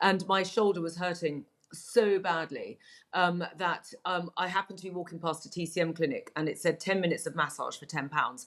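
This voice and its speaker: With a southern English accent, a woman talks fairly quickly at a fairly low pitch and with fairly even intonation. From England. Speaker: Chinese medicine practitioner. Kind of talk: interview. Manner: hesitant, many fillers.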